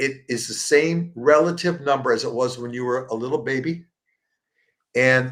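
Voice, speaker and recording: At a moderate pace, a man speaks in an unremarkable speaking voice. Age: 60s. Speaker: plant-based support group founder. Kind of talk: interview. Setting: live show.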